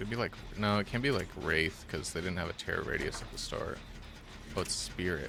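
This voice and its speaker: A man speaks fairly quickly with a very deep, low pitch and ordinary pitch variation. Noticeable background noise can be heard. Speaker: gaming streamer. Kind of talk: live gameplay commentary. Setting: live stream. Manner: stuttering, halting.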